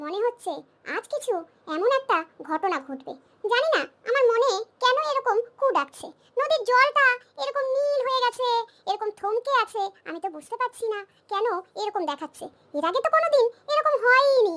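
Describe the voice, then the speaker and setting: A woman puts on a squeaky, cartoonish character voice at an extremely high pitch with very wide pitch swings. She speaks at a fairly quick pace. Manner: earnest, emotional.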